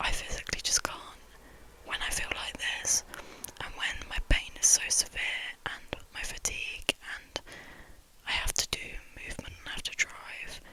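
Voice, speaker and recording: Whispering with long, frequent pauses, a woman's voice rises and falls sharply in loudness over noticeable background noise. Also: moderate pace. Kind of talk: ASMR whispered ramble from bed. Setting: lying in bed. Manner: whispered, soft-spoken, rambling.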